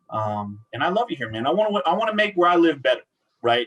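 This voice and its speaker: A man's voice with lively intonation and a Spanish accent. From Central Washington, US. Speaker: workforce business consultant. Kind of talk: casual interview chat.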